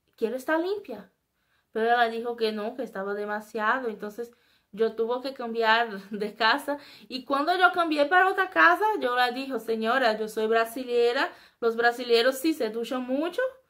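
A woman with a Brazilian accent speaks at a moderate pace against a quiet background. Her high-pitched voice has a bright, sharp tone and lively intonation. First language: Portuguese (speaking Spanish). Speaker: YouTuber; vlogger. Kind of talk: casual vlog monologue. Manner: halting. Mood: animated, expressive. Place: home room. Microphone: webcam.

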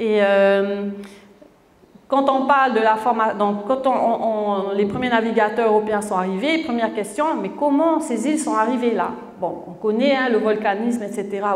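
Audible room echo surrounds a woman with a fairly high voice speaking at a fairly slow pace. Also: ordinary pitch variation. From French Polynesia (Tahiti); French Polynesia. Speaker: author; conference speaker. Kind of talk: lecture. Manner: halting, many repetitions. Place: hall.

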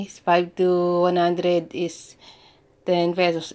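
A woman's fairly low-pitched voice. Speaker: YouTuber, domestic worker. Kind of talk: tutorial. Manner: halting.

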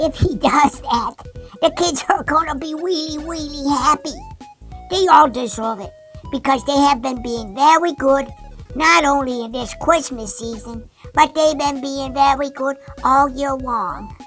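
A female-sounding voice does a cartoonish character at a high pitch and a moderate pace. Music plays clearly in the background. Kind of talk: children's puppet show. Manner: enthusiastic, wholesome.

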